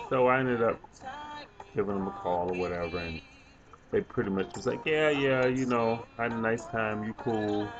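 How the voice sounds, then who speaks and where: A man at a moderate pace with ordinary pitch variation, long, frequent pauses, and noticeable background noise. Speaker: flight attendant vlogger. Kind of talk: casual vlog chat. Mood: relaxed, reflective. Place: home room. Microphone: webcam.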